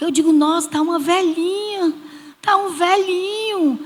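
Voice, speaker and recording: Noticeable background noise sits behind a woman speaking at an extremely high pitch. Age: 60s. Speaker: church small-group leader. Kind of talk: church panel testimony.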